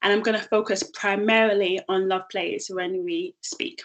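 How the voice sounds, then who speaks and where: She talks at medium pitch with ordinary pitch variation, in a strong London accent. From London, southeast. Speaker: social enterprise founder and CEO. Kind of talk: presentation.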